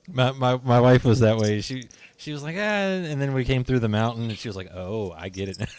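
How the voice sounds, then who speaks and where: A man talks in an ordinary speaking voice at a medium pitch. His intonation is lively, his pace fairly quick, with big swings in loudness. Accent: American. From western Pennsylvania (near Pittsburgh). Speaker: podcast host. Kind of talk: casual interview.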